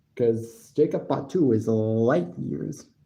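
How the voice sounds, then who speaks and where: The voice has a dark, mellow tone, with audible echo from the room. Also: man. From United States. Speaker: wrestling podcaster and live streamer. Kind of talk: live stream commentary and review. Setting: live stream.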